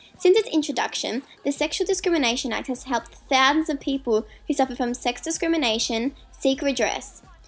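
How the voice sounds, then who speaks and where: Music plays in the background as a woman speaks at a fairly quick pace. Her high pitch shows ordinary variation. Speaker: university student. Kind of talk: documentary narration for school assignment.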